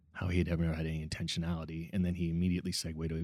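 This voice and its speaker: Very fast, monotone speech with flat intonation and a dark, mellow tone. The recording is very clean, with a silent background. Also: man. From Nova Scotia, Canada. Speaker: restaurateur and social entrepreneur. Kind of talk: casual interview conversation.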